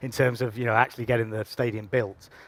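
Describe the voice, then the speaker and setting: A man speaks with an English accent. The recording is very clean with a silent background, and the sound is dry and close with no echo. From England. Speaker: football club president. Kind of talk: panel interview.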